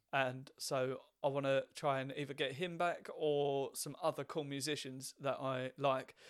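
A man with a fairly high pitch and monotone, flat intonation, at a fairly slow pace with hardly any pauses. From Essex, southeast England. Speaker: podcast host and comedian. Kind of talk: casual chat. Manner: clear enunciation.

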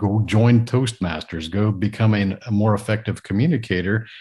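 A man talks with a somewhat breathy voice over a quiet background. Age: 40s. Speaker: entrepreneur and podcaster. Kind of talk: casual interview.

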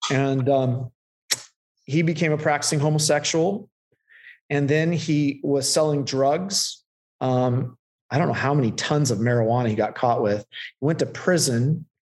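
An unremarkable speaking voice comes through with an American accent. Its loudness stays very even. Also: man, fairly high pitch for a man, ordinary pitch variation, fairly slow pace. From Central California. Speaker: pastor. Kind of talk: casual interview.

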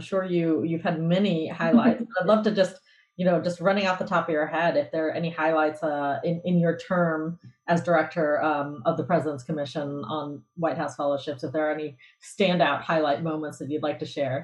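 Talking at a fairly quick pace, a woman with an unremarkable speaking voice shows ordinary variation in her fairly low pitch. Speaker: guest host. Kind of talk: interview conversation.

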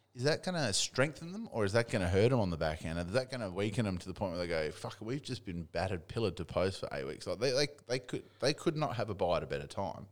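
Talking very fast in an Australian accent, a man lets his pitch swing very widely. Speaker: football podcast co-host. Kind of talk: casual banter about AFL. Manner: profane, opinionated.

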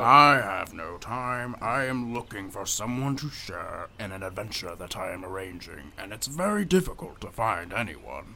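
A man's put-on character voice at a medium pitch and moderate pace, with hardly any pauses and clear background noise. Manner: grand, teasing, pedantic.

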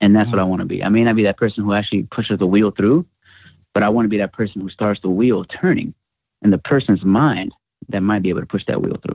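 A fairly low-pitched man, very fast, with fairly even intonation. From US Northeast (Bronx, New York City). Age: 20s. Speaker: hip hop artist. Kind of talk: interview.

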